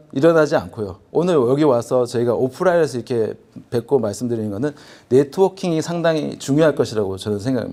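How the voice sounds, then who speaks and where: With a dark, mellow tone and lively intonation, a man talks at a fairly quick pace in a very clean recording with a silent background. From Busan, South Korea. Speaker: business executive, forum presenter. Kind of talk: conference presentation. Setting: convention hall with audience.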